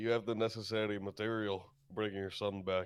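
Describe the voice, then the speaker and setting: Putting on a character voice, a man speaks at a moderate pace in a fairly low pitch with monotone, flat intonation. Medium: actual play.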